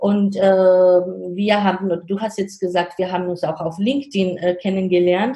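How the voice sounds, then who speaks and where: Speaking fairly slowly with a Georgian accent, a woman keeps a medium pitch and fairly even intonation, with hardly any pauses. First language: Georgian (speaking German). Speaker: startup consultant and guest lecturer. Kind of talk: interview. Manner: halting.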